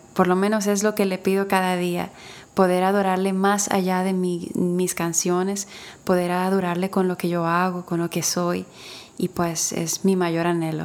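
A woman speaks at a fairly slow pace in a medium pitch, her intonation flat and monotone. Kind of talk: interview testimony. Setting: remote from home.

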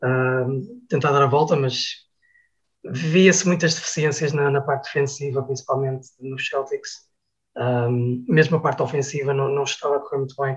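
Somewhat breathy speech at a moderate pace, with fairly even intonation. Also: man, fairly high pitch for a man. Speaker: basketball commentator. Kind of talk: casual chat. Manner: halting.

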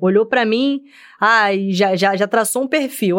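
A woman with a Rio de Janeiro accent is heard on a very clean recording with a silent background. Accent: Carioca Brazilian Portuguese. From Rio de Janeiro, West Zone (Senador Camará). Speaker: military police officer. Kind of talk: casual chat.

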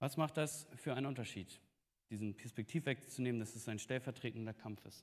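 A man's ordinary speaking voice at a medium pitch and moderate pace, with ordinary pitch variation. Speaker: preacher. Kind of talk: sermon. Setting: church.

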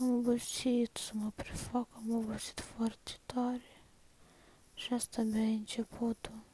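In a dark, mellow tone, a woman speaks at a fairly high pitch and a fairly slow pace with monotone, flat intonation. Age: 20s. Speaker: person recording a personal voice diary. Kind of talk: personal confessional monologue. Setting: at home, lying in bed. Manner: soft-spoken, quiet so others at home won't hear.

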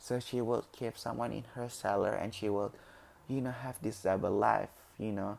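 A man speaks at a fairly low pitch with vocal fry and a moderate pace. His intonation stays fairly even. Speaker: solo podcaster. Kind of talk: casual monologue. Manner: halting.

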